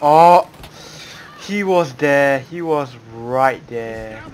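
Ordinary pitch variation comes through as a man talks over light background noise. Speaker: gamer. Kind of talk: gameplay commentary. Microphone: headset.

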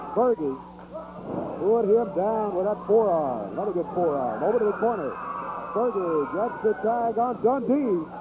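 A man with a high-pitched voice and lively intonation talks at a moderate pace against noticeable background noise. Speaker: wrestling commentator. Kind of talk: 1980s wrestling commentary, live play-by-play.

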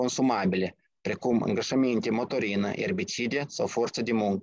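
A man with lively intonation at a moderate pace, in a quiet background with a dry sound and no echo. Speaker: technical department director, company presenter; presenter. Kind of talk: company pitch. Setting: video call.

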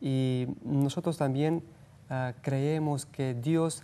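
A man's fairly high voice with a dark, mellow tone, fairly even intonation and a Romanian accent. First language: Romanian (speaking Spanish). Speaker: missionary; guest. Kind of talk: interview. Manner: halting. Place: studio. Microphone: lapel.

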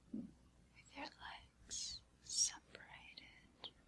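A whisper in a soothing tone. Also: woman. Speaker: hypnotist. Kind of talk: hypnosis induction for sleep. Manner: whispered, slow, soothing. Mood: calm, soothing. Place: studio.

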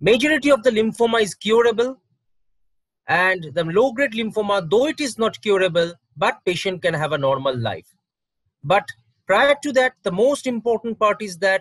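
A man talks at a moderate pace. The background is quiet and the sound is dry with no echo. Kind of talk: medical awareness talk. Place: home room. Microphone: webcam.

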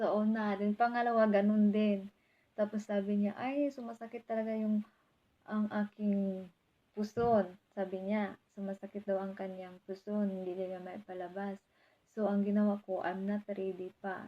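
The voice has a dark, mellow tone, moving at a fairly slow pace with flat, monotone intonation. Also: woman, medium pitch for a woman. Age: 20s. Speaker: vlogger. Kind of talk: casual vlog monologue.

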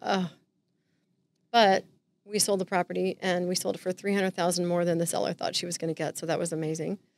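A woman with an American accent at a very fast pace, fairly low in pitch, with fairly even intonation, long, frequent pauses, and a dry sound with no echo. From Southern California. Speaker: real estate agent; podcast guest. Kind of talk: casual interview chat. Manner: joking, playful. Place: studio. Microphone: studio mic.

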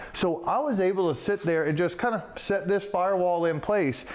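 With noticeable background noise around him, a man talks at a fairly quick pace in a high voice. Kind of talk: tutorial. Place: workshop.

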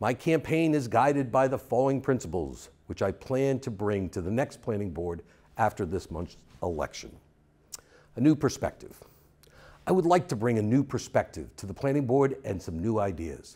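This man has a dark, mellow tone. His pitch swings very widely. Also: moderate pace. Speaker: election candidate. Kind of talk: campaign statement. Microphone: lapel.

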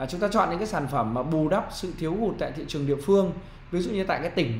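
A man at a very fast pace, audible room echo and light background noise. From Vietnam. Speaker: marketing trainer; business marketing trainer. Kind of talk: online business tutorial. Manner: conversational, frequent fillers. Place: home room. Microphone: webcam.

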